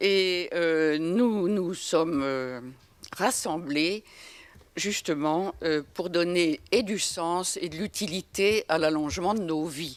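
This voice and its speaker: A woman talks very slowly at a fairly low pitch, with ordinary pitch variation. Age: 80s+. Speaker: association co-chair, senior advocate. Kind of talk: round-table talk. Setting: conference with audience. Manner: halting, many hesitations.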